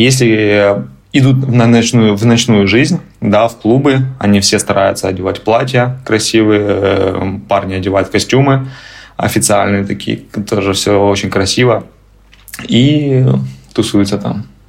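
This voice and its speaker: A man speaks with a fairly low pitch and ordinary pitch variation. He leaves long, frequent pauses. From Ukraine. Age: 30s. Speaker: immigrant, tour guide. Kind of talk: interview, casual chat.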